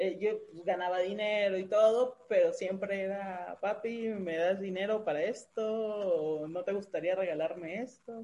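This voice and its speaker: A woman in a Mexican accent talks at a fairly slow pace, medium pitch and fairly even intonation. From Mexico. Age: 30s. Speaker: podcast co-host. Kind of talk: interview.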